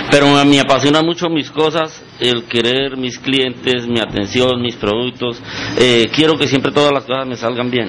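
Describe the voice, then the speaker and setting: Against noticeable background noise, a man talks at a moderate pace in a medium pitch. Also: fairly even intonation. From Colombia, Cundinamarca (Gachetá). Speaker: business owner. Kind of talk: radio interview. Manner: halting.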